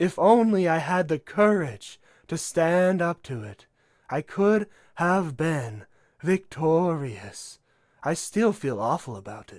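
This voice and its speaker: A man puts on a character voice, talking at a fairly slow pace with a high pitch. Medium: read story. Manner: casual, chatty.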